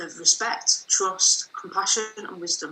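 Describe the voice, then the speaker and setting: A woman's medium-pitched voice with a northern English accent. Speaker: author. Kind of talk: reading aloud.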